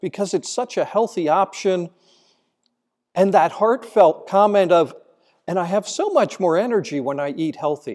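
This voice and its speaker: A man's solemn, high-pitched voice with lively intonation over a quiet background. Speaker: priest giving homily. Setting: church. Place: church. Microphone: podium.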